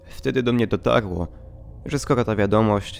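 With music in the background, a man talks at a fairly slow pace in a fairly low voice with ordinary pitch variation. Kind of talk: read horror story narration.

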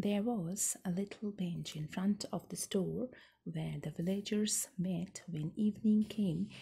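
A soft-spoken voice with a dark, mellow tone and a somewhat breathy quality. It moves at a very slow pace with ordinary pitch variation. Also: woman. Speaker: storyteller. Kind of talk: story read-aloud. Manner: soft, hushed ASMR storytelling voice. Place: home room. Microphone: phone near.

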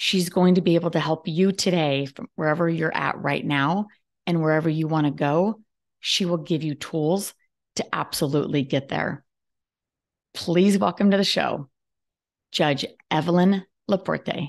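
Against a quiet background, a woman with a fairly low voice and an animated tone talks at a moderate pace with ordinary pitch variation, leaving long, frequent pauses. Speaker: podcast host. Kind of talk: interview. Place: home room. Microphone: webcam.

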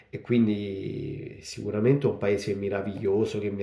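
Against a quiet background with audible room echo, a man speaks at a moderate pace in a fairly low, dark, mellow voice. He sounds somewhat breathy, and his pitch varies in an ordinary way. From Italy, Rome. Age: 40s. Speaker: novelist. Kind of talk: book presentation monologue. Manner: halting, many fillers. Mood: grateful, warm. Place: home room. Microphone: phone near.

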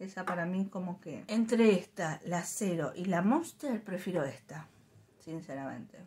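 In a Rioplatense accent, a somewhat breathy voice speaks fairly slowly with ordinary pitch variation. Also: woman. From Argentina. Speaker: YouTuber reviewing drinks. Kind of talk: casual product review vlog. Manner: chatty, informal.

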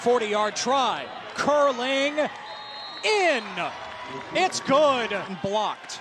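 Noticeable background noise accompanies a man whose pitch is extremely high, the sound dry with no echo. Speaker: play-by-play announcer. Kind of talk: sports commentary. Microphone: headset.

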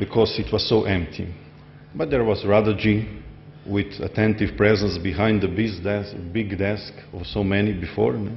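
Speaking at a moderate pace with a Slovenian accent, a man uses a fairly low pitch and fairly even intonation amid light background noise. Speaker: society member; speaker. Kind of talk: speech. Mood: warm, smiling, reflective. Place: hall. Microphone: podium.

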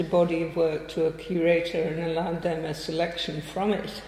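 A woman speaks over noticeable background noise. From northeast England. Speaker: artist and art teacher. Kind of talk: public conversation. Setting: stage with audience at a museum.

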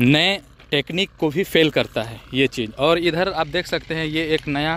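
The sound is dry, with no echo. A man speaks fairly slowly with fairly even intonation. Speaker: travel vlogger. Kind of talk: casual vlog chat. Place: open country. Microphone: phone near.

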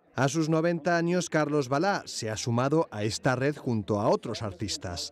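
The speaker has an unremarkable speaking voice, moving at a moderate pace with lively intonation. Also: man, fairly high pitch for a man. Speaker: news reporter. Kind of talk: TV news narration.

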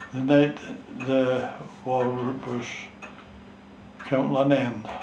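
Audible room echo and light background noise surround a man speaking with a North East Scottish accent. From North East Scotland. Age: 80s+. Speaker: war veteran, fishing skipper. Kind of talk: interview answer. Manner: slow, hesitant. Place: home room. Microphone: camera far.

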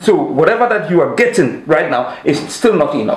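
In a Ghanaian accent, a man talks at a fairly quick pace and fairly high pitch, with big pitch swings and strong room echo.

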